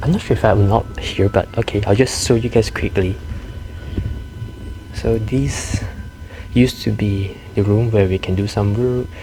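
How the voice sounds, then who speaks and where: Over music in the background, a man whispers at a moderate pace with long, frequent pauses. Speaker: university student vlogger. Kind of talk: vlog walking tour. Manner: casual; whispering.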